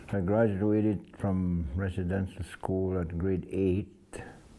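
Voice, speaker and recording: The voice moves at a very slow pace, with a dark, mellow tone and monotone, flat intonation. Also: man. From Saskatchewan, Canada (First Nations reserve). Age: 70s. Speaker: elder. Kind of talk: oral history interview. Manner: halting.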